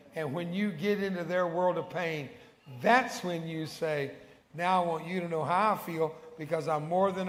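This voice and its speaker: A man with a Texan accent speaks at a moderate pace in a high pitch with ordinary pitch variation. Noticeable background noise and audible room echo surround him. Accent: Texan American English. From Texas. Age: 70s. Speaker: evangelist. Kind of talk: sermon. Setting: church. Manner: animated.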